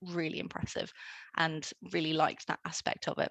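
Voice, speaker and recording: A woman's fairly low voice at a moderate pace, dry and close with no echo, against a quiet background. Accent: British. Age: 20s. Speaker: engineer. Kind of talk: presentation talk. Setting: online talk with screen sharing.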